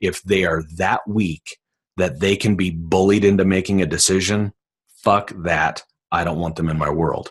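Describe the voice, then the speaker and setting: A man with a very deep, low pitch sounds animated, speaking at a moderate pace against a quiet background. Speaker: sales trainer. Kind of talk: webinar sales pitch. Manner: loud.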